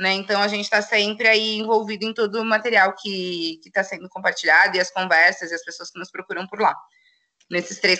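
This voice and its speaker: Her voice is bright and sharp at a medium pitch, with monotone, flat intonation, a fairly quick pace and big swings in loudness. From São Paulo, Brazil. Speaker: poet and political activist. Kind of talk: casual interview chat.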